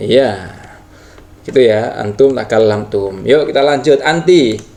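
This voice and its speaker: At a very slow pace, a man speaks with medium pitch and ordinary pitch variation. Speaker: Arabic grammar teacher. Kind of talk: tutorial. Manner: halting, with fillers.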